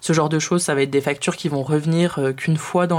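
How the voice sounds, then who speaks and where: A woman speaks at a fairly low pitch. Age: 20s. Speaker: personal finance youtuber. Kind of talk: tutorial. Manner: hesitant, many filler sounds.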